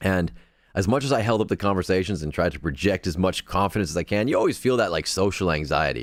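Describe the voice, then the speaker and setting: In a very clean recording with a silent background, a man with a very deep, low pitch and vocal fry talks very fast with lively intonation. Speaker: podcast host. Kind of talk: live podcast chat reading viewer comments. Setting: live stream. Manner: casual, hesitant with fillers.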